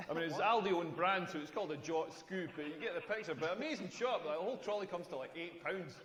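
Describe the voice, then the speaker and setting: A man with a Scottish accent at a fairly quick pace, over noticeable background noise. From Scotland. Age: 40s. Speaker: comedian. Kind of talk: stand-up. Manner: animated.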